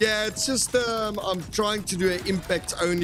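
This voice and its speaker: With music playing behind him, a man with a South African accent talks at a moderate pace with lively intonation. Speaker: gaming streamer. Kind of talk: live gameplay commentary. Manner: casual, many fillers.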